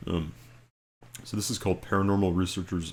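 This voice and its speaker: A quiet man talks at a very fast pace in a very deep, low voice with ordinary pitch variation, on a very clean recording with a silent background. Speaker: video creator. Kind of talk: casual storytelling and reading aloud. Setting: at home late at night. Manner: speaking quietly; halting, many fillers and repeats.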